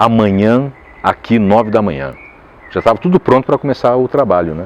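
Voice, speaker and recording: Against noticeable background noise, the voice moves at a fairly quick pace with very wide pitch swings. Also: man, medium pitch for a man. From Caxias do Sul, Brazil. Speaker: voice actor. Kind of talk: interview answer. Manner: casual, conversational.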